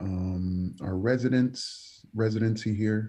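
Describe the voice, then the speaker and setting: The speaker is a man. His tone is dark and mellow. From New York, the Bronx. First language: Spanish. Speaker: evangelist preacher. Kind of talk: casual interview chat.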